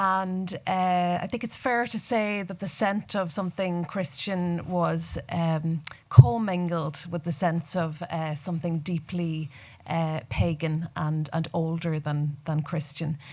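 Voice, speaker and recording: Speaking in a Donegal accent, a woman goes at a very slow pace. The recording is very clean, with a silent background. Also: fairly low pitch for a woman, ordinary pitch variation. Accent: Donegal Irish. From Ireland, northwest Donegal Gaeltacht. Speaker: poet. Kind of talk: panel discussion. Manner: halting.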